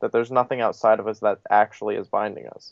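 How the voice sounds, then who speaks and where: A man speaks in monotone, flat intonation at a medium pitch, with an American accent. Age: 20s. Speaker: spiritual teacher. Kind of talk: interview answer.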